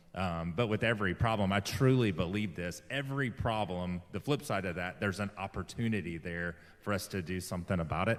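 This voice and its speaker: Talking at a fairly quick pace with hardly any pauses, a man with a Southern US accent uses a very deep, low pitch in a very clean recording with a silent background. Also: ordinary pitch variation. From US South (Alabama). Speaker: interview show host. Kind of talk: interview.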